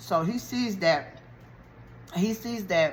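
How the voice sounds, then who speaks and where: Audible echo fills the room while a woman talks, her pitch moving in an ordinary way. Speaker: YouTuber recapping a TV show. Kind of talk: casual TV show recap. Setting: eating while talking to camera.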